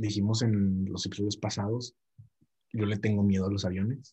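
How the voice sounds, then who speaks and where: A man's fairly low, somewhat breathy voice with a dark, mellow tone and monotone, flat intonation. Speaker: podcast co-host. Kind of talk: casual chat.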